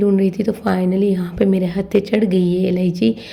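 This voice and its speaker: A woman speaks in a monotone with flat intonation. Her pace is moderate. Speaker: vlogger. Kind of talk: shopping vlog. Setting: grocery store.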